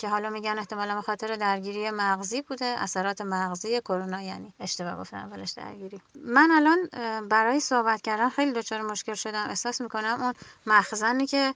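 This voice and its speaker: Racing at a very fast pace, a woman's fairly high, bright and sharp voice moves with ordinary pitch variation. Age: 30s. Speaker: general practitioner, covid survivor. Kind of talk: recorded voice message testimony.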